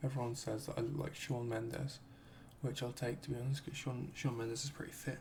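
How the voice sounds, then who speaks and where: A man whispers, soft-spoken and at a moderate pace, over noticeable background noise. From United Kingdom. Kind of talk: ASMR Q and A talk to camera. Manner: soft-spoken, whispered.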